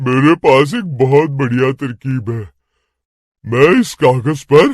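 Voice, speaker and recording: In a cartoonish character voice, a man with a medium pitch and ordinary pitch variation speaks at a fairly slow pace, the sound dry and close with no echo. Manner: calm, confident.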